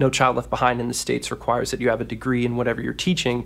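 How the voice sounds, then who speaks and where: He speaks at a medium pitch with vocal fry. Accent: American. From US Mid-Atlantic, Washington DC area. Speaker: web development teacher and author. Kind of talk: casual interview. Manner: enthusiastic.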